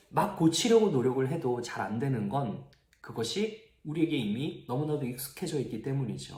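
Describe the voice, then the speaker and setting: The room echo is clearly audible. The pace is moderate, with lively intonation. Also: man, fairly high pitch for a man. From Gyeongsang region, South Korea. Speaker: youth pastor. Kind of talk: sermon.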